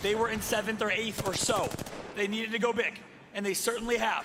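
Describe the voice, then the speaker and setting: A man's high-pitched voice at a fairly quick pace, with ordinary pitch variation, audible room echo and noticeable background noise. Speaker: esports caster. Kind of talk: live commentary. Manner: animated; whispering briefly.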